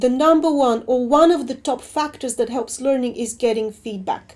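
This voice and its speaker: A woman with a non-native accent talks at a moderate pace, her pitch high with ordinary variation. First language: not English. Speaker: assessment researcher. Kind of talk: webinar Q&A.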